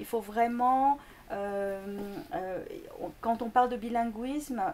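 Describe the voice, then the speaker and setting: Very slowly, a woman talks at a fairly high pitch with ordinary pitch variation. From Greece, Korean family. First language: Korean (speaking French). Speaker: linguistics lecturer. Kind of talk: interview. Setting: school. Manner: halting, many fillers.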